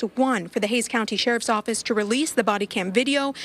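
At a fairly quick pace, a woman talks in a normal speaking voice, fairly high in pitch with ordinary pitch variation. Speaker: TV news reporter. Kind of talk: field news report. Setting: outdoors at a protest.

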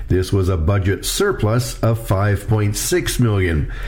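A man at a fairly low pitch with ordinary pitch variation, amid noticeable background noise. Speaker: agricultural journalist. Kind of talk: scripted news report.

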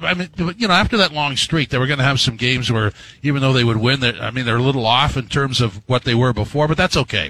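A man with a fairly high pitch and ordinary pitch variation has an unremarkable speaking voice. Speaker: fill-in radio sports host. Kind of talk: radio DJ patter: sports talk show host banter and ad reads. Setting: radio studio.

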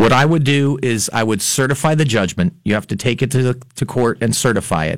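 A man with an American accent speaks at a fairly quick pace with hardly any pauses, in an ordinary speaking voice of medium pitch and ordinary pitch variation. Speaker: lawyer and musician. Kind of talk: call-in radio legal advice. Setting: radio studio.

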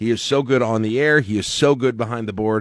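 A man with a fairly low pitch and an unremarkable speaking voice talks with fairly even intonation in a very clean recording with a silent background and a dry, close sound with no echo. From Lincoln, Nebraska. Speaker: radio morning show host. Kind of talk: casual chat. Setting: home basement.

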